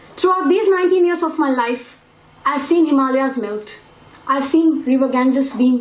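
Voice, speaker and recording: Over noticeable background noise and audible room echo, a woman talks with a high pitch and lively intonation. Her pace is moderate. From India. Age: 19. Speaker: youth climate activist. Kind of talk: press conference statement. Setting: press conference.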